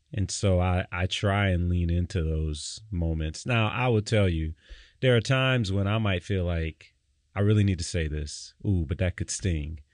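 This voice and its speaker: At a moderate pace against a quiet background, a man with an American accent speaks in a very deep, low pitch. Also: ordinary pitch variation. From Detroit, US. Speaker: pastor. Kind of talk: casual chat.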